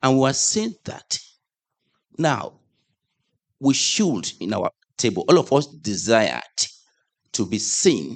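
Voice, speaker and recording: A man speaks with vocal fry at a very slow pace, taking long, frequent pauses. His pitch swings very widely, over a quiet background. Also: medium pitch for a man. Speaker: congregation member sharing group discussion. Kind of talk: group feedback in church.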